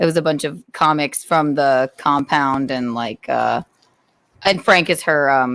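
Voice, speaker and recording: A woman with a Southern accent at a fairly slow pace, in a dry, close sound with no echo. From US South, South Carolina (Rock Hill). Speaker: comedian. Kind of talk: casual chat.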